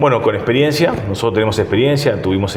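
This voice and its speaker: A man speaks with ordinary pitch variation. There is audible room echo and noticeable background noise. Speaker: mayor, politician. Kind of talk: interview. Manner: hesitant fillers, frequent repetitions.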